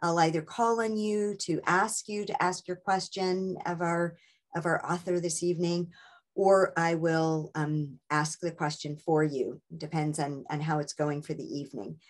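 Against a quiet background, a woman speaks at a fairly low pitch. Her pitch varies in an ordinary way, and her pace is fairly slow. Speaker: book club host. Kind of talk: meeting host introduction. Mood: friendly, welcoming. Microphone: video call.

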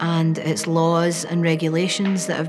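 A woman's fairly low, monotone voice in a Glaswegian accent, flat in intonation, with clear music behind it. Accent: Glaswegian Scottish. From Scotland, Glasgow. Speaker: documentary interviewee; interviewee. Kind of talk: personal testimony. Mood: quiet, reflective, serious. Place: classroom. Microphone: lapel.

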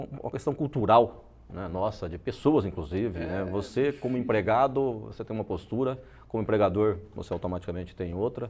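The speaker keeps a moderate pace with hardly any pauses and ordinary pitch variation. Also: man, fairly low pitch for a man. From Brazil, interior of São Paulo state. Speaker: franchise owner. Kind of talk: interview. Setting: TV studio. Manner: halting, many repeated words. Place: studio. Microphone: lapel.

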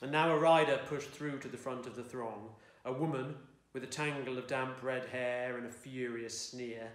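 Reading aloud in a voice that sounds natural

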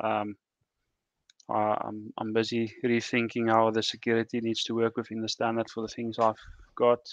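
Against a quiet background, a man speaks at a moderate pace in a medium pitch, his intonation monotone and flat, the sound dry with no echo. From South Africa. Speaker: software developer; guest. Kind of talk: technical discussion. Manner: halting. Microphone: video call.

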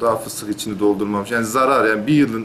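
Light background noise sits under the recording. The man's pitch varies in an ordinary way. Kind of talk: interview answer. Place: office.

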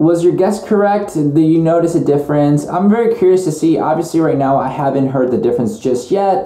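At a fairly quick pace with hardly any pauses, a man talks with ordinary pitch variation in audible room echo. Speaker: vlogger testing microphones. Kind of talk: casual vlog chat. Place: home room. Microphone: camera far.

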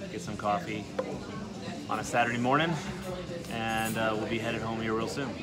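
With loud music in the background, a man talks at a moderate pace. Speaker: car owner vlogger. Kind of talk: casual vlog chat. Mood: relaxed, content. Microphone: phone near.

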